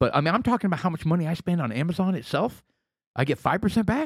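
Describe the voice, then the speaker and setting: Lively in intonation, a man speaks at a high pitch in a dry, close sound with no echo. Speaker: podcast co-host. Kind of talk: casual chat.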